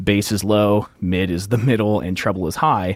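At a moderate pace, a man speaks in a normal speaking voice that sits fairly low in pitch. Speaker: audio engineer and podcaster. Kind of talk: casual interview chat.

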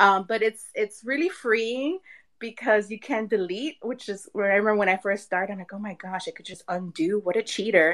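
A woman with an ordinary speaking voice talks at a moderate pace and medium pitch, with ordinary pitch variation and big swings in loudness. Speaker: artist. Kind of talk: casual chat. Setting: live online audio room.

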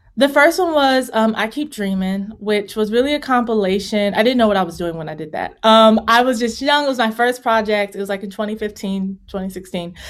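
An ordinary speaking voice, a woman with an American accent at fairly high pitch with ordinary variation, fairly quick with hardly any pauses, on a very clean recording with a silent background. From Virginia. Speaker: singer-songwriter and vocal coach. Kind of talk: interview.

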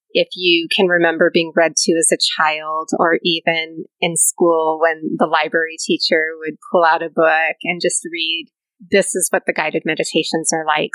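A soft-spoken woman with a fairly low pitch talks at a moderate pace, her tone bright and sharp. The sound is dry and close with no echo. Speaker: pilates and yoga instructor. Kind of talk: casual interview chat. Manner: soft, nurturing.

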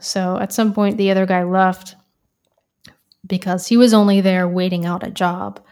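Monotone, flat intonation at a moderate pace. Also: woman. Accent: American. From US South, Florida. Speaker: audio engineer and music technologist. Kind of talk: casual chat. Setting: video call.

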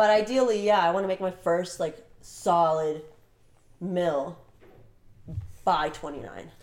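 Speaking very slowly with long, frequent pauses, a woman with an American accent uses a fairly low pitch and ordinary pitch variation. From Burbank, California, with summers in Croatia and Serbia. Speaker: fashion model and agency manager. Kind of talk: casual interview chat.

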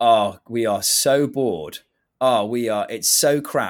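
Recorded very cleanly against a silent background, a man at a medium pitch uses an unremarkable speaking voice with ordinary pitch variation. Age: 20s. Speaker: startup co-founder. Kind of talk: interview.

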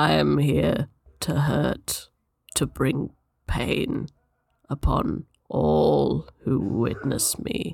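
A man's raspy, put-on character voice at medium pitch, very slow pace, with long, frequent pauses. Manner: menacing.

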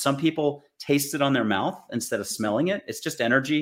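The man has a normal speaking voice with an American accent. He keeps a moderate pace with ordinary pitch variation. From United States. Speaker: spiritual author and intuitive. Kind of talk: interview conversation.

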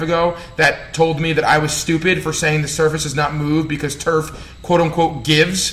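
A man talks with a New Jersey accent. His pitch is fairly high, and there is noticeable background noise. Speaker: strength coach and podcast host. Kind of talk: solo podcast rant. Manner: animated, fired up, fast.

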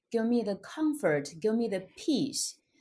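In a very clean recording with a silent background, a woman with a Chinese accent speaks in a fairly high pitch, her dark, mellow tone carried by lively intonation. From China. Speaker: author and motivational speaker. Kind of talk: interview.

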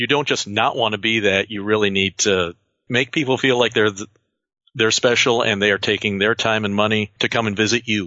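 A man with an American accent, a plain, everyday voice, a fairly low pitch, fairly even intonation and a fairly quick pace. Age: 40s. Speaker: museum archivist and automotive historian. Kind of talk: interview.

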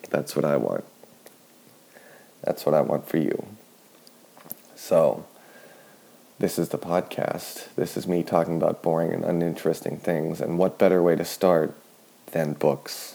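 Soft-spoken and very deep in pitch, a man talks at a fairly slow pace with fairly even intonation, a dark, mellow tone, and long, frequent pauses. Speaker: sleep podcast host. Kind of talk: sleep-aid monologue. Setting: at home in kitchen. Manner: slow, droning with pauses.

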